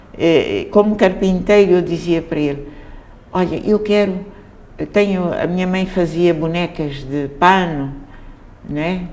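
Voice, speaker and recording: Amid noticeable background noise and audible room echo, a woman speaks at a fairly low pitch and fairly slow pace with fairly even intonation. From Mozambique, Maputo. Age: 80s+. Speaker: theatre director. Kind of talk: interview. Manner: halting.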